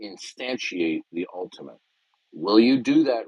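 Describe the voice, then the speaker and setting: Very slow male speech, medium in pitch, with lively intonation. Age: 60s. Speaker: debater. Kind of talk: heated debate. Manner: interrupting; forceful.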